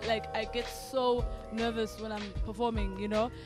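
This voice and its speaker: A woman speaks with music in the background. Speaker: spoken word poet. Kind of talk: interview answer.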